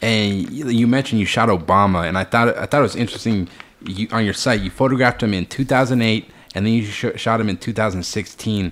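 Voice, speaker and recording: Noticeable background noise sits behind this recording. A man with a fairly low pitch speaks at a very fast pace. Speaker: podcast host and photographer. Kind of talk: casual interview. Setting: in-person at guest's studio. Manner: casual, uses many fillers.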